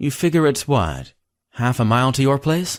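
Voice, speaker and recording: Putting on a character voice, a man talks at a moderate pace and medium pitch, with ordinary pitch variation and very even loudness. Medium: read story. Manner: terse, distracted.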